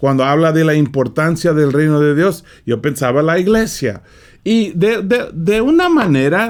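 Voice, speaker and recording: At a very slow pace, a man with a fairly high voice speaks with lively intonation. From California. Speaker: preacher. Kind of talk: sermon. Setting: studio.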